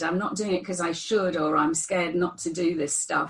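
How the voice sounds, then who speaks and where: With noticeable background noise behind her, a woman of fairly low pitch talks at a very fast pace. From northern England. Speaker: therapist. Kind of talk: interview.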